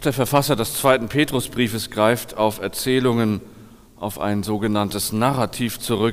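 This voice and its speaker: A man talks at a moderate pace in an ordinary speaking voice. His intonation is fairly even. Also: medium pitch for a man. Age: 40s. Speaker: pastor. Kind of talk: sermon.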